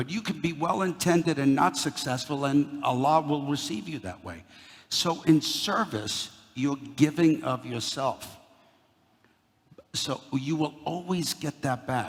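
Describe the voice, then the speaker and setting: This man has a New York accent and a fairly high pitch, with some vocal fry. He speaks at a fairly slow pace with ordinary pitch variation. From Brooklyn, New York. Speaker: company CEO, guest speaker. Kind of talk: talk to a university audience. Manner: animated.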